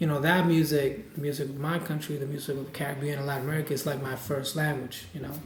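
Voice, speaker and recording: A man speaks very fast at a fairly high pitch, with noticeable background noise and audible room echo. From Puerto Rico. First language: Spanish. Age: 30s. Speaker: jazz saxophonist. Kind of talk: interview. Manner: halting, with frequent repetitions and fillers.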